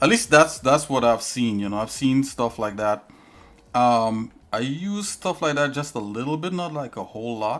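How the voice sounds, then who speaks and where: A man with a Trinidadian accent speaks at a moderate pace. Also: medium pitch for a man, lively intonation. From Trinidad and Tobago. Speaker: live streamer, 3D artist. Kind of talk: live stream tutorial chat. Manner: casual, halting with fillers.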